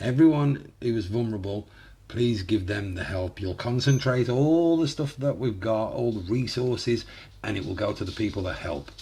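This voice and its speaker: This somewhat breathy voice has a dark, mellow tone and lively intonation, moving at a moderate pace. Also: man, medium pitch for a man. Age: 30s. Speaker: YouTuber reacting to music. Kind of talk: reaction video commentary. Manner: animated.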